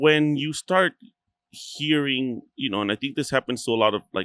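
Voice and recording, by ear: A man speaks at a moderate pace and medium pitch with ordinary pitch variation, a fairly bright tone, and a dry, close sound with no echo.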